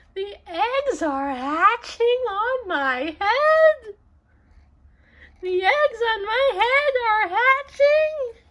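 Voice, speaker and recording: Squeaky and extremely high, a woman's put-on character voice unfolds at a very slow pace. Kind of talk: read-aloud for children. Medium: read story. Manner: worried, fretful.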